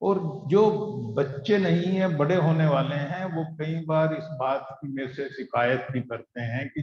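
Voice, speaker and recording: Heard with audible room echo, a man speaks at a fairly high pitch. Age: 60s. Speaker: satsang preacher. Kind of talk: sermon. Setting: gathering with live audience, also streamed online.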